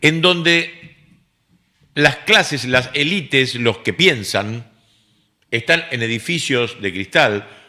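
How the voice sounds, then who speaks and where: A man's medium-pitched voice with a Rioplatense accent, bright and sharp in tone, lively in intonation, at a very slow pace with long, frequent pauses. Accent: Argentine Rioplatense Spanish. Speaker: radio host. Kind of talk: casual chat. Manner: animated.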